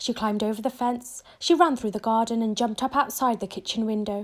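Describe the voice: A woman speaks in a fairly high pitch. Her pitch varies in an ordinary way.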